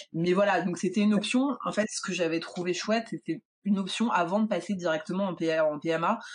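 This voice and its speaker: Somewhat breathy, a woman speaks at a moderate pace and medium pitch with ordinary pitch variation. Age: 30s. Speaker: illustrator. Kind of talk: testimony.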